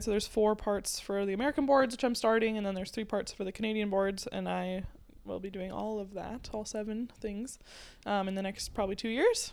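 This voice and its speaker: This woman has an ordinary speaking voice with a fairly high pitch. She talks at a fairly quick pace with fairly even intonation. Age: 20s. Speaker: chiropractic student. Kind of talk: casual chat.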